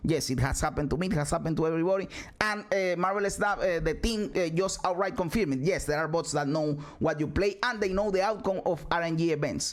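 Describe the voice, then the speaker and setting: Over music in the background, a man with a Spanish accent talks very fast in an animated tone with a high pitch. His loudness stays very even. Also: ordinary pitch variation. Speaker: gaming streamer. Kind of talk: video reaction commentary. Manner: halting.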